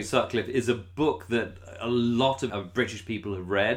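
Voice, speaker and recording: This man's voice sits at a medium pitch. His intonation is lively. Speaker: podcast host. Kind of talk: casual chat. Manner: animated, laughs often.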